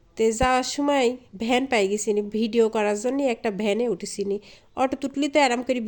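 A woman is speaking. Her pitch varies an ordinary amount. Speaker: vlogger. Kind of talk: casual vlog narration. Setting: outdoors, riding a van rickshaw.

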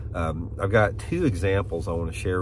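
Against noticeable background noise, a man talks with ordinary pitch variation in a dry sound with no echo. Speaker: fishing channel host. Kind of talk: casual vlog chat. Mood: calm, reflective. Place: car. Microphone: phone near.

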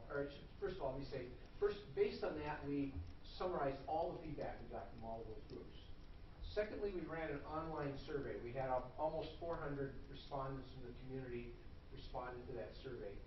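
A man speaks at a fairly quick pace over light background noise, with audible room echo. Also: ordinary pitch variation. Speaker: presenter. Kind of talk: formal report to a meeting. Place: hall. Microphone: camera far.

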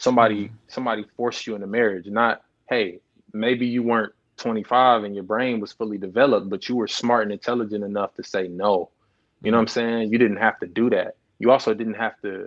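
At a fairly quick pace, a man speaks with monotone, flat intonation over a quiet background. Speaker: guest. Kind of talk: interview answer. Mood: reflective, candid. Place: home room. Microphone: earbuds.

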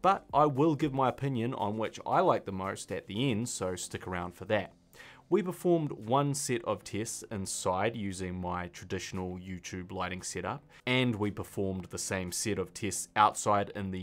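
Faint music plays in the background as a man with a fairly low pitch talks at a moderate pace. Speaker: filmmaker YouTuber. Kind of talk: tutorial. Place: studio.

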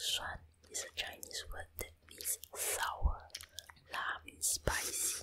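A woman whispering at a very slow pace, with noticeable background noise. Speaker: stay-at-home mom, ASMR creator. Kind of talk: ASMR whispered voiceover. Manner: whispered.

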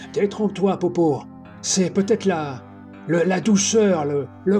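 Over clear music in the background, a man does a put-on character voice that is raspy and high in pitch. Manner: solemn, authoritative.

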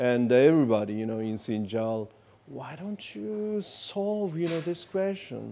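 With a Japanese accent, a man talks fairly slowly in a dark, mellow tone, his pitch swinging very widely. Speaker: ambassador; interviewee. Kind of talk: interview; interview answer. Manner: hesitant, many fillers. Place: studio. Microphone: lapel.

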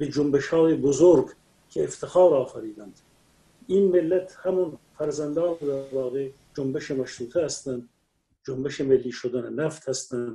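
Somewhat breathy male speech with a dark, mellow tone. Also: ordinary pitch variation, moderate pace. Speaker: remote guest commentator. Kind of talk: interview answer. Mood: proud, impassioned. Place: home room. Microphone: video call.

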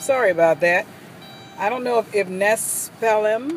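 A woman's voice sounds dry with no echo, with music in the background. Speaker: travel vlogger. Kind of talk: casual vlog chat. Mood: light, joking. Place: car. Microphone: phone near.

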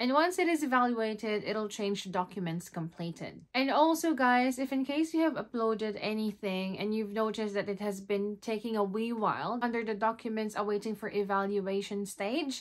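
A woman's fairly high voice with lively intonation at a moderate pace, over a quiet background. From Philippines. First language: Tagalog. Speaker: vlogger. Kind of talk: tutorial. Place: home room.

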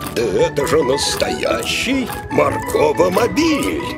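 A man puts on a cartoonish character voice with vocal fry, fairly high pitch and very wide pitch swings, talking slowly over clear background music.

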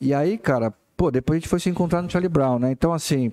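With a quiet background behind him, a man talks in a dark, mellow tone and ordinary pitch variation. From Brazil. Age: 40s. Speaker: bassist; guest. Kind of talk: casual chat. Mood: relaxed, humorous chat. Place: studio. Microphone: studio mic.

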